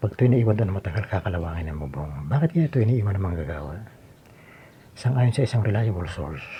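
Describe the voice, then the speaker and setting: Soft-spoken and somewhat breathy, a man talks at a very fast pace at a fairly low pitch with a dark, mellow tone and very wide pitch swings. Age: 60s. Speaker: vlogger doing home repairs. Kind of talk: casual vlog narration. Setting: outdoors on a rooftop.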